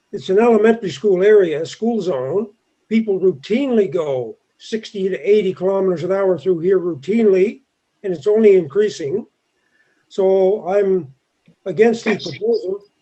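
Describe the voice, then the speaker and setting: A man with a high pitch and a Canadian Maritime accent. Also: ordinary pitch variation, moderate pace. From Nova Scotia, Bedford. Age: 60s. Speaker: resident speaking at public meeting. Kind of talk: public comment at planning meeting.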